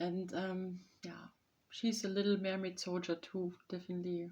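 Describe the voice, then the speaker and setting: This woman has a German accent and a dark, mellow, somewhat breathy tone at medium pitch. She speaks fairly slowly in a flat monotone, with long, frequent pauses. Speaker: vlogger. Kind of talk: casual chat. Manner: halting.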